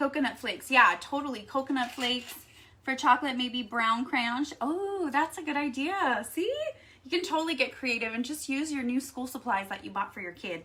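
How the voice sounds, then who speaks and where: Raising and projecting her voice, a woman speaks at a high pitch and moderate pace with lively intonation. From Texas. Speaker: craft YouTuber. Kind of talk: live stream craft tutorial. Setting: live stream. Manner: casual, chatty.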